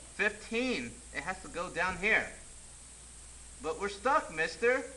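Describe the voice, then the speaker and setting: Over noticeable background noise, a man with a high pitch raises and projects his voice, using lively intonation at a fairly slow pace. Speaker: teacher. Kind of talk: tutorial. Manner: animated.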